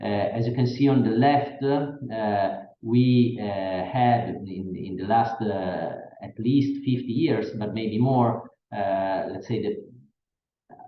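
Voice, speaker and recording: With an Italian accent, a man speaks at a very slow pace and medium pitch, showing ordinary pitch variation and big swings in loudness amid audible room echo. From Italy. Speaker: professor. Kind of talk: lecture. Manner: halting.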